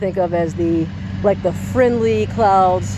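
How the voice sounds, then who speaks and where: Noticeable background hiss behind speech at a moderate tempo. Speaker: channel host, outdoor weather vlogger. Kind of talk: casual outdoor vlog. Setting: outdoors.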